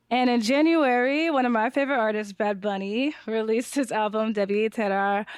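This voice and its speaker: A woman's fairly high voice with an American accent, an ordinary speaking voice at a moderate pace, very even in loudness with ordinary pitch variation, on a very clean recording with a silent background. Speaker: pop culture podcast co-host. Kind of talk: casual chat.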